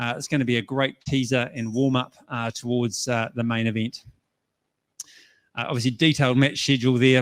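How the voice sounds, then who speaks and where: A man's medium-pitched voice, very fast and monotone, with flat intonation. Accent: New Zealand. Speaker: tournament organiser. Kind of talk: conference presentation.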